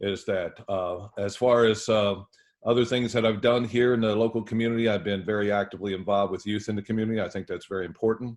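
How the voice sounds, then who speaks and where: Talking very fast in a flat monotone, a man delivers his words at a fairly low pitch. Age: 60s. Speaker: lawyer and judicial candidate. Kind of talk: interview. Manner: halting, many fillers.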